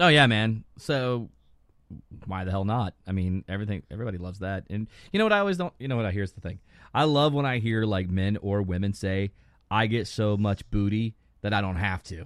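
At a fairly quick pace with ordinary pitch variation, this is a plain, everyday voice. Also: man, fairly low pitch for a man. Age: 50s. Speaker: podcast co-host. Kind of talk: casual chat.

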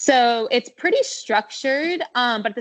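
In a plain, everyday voice, a woman with an American accent speaks at a fairly slow pace with ordinary pitch variation. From Maine, US (Standish, Portland area). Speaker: professional runner. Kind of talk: casual interview.

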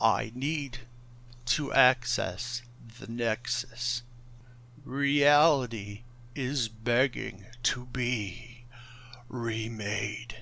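A man's put-on character voice at a medium pitch, very slow, with long, frequent pauses and clear background noise. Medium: actual play. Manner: calm, grandiose, condescending.

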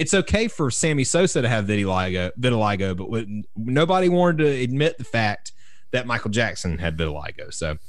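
A man with a strong Southern US accent talks at medium pitch, his voice making very wide pitch swings. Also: fairly quick pace. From US South, South Carolina. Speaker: podcast co-host, drummer. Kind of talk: casual chat. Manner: halting.

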